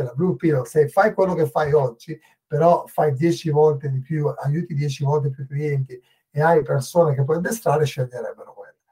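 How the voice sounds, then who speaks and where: At a moderate pace, a man speaks in a fairly high, somewhat breathy voice with a dark, mellow tone and ordinary pitch variation. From northern Italy. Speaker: agency executive and author. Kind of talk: podcast interview. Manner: halting.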